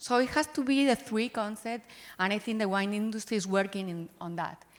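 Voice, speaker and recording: A woman with a Spanish accent, fairly high in pitch, with ordinary pitch variation. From Spain. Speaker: winery sustainability executive. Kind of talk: panel discussion.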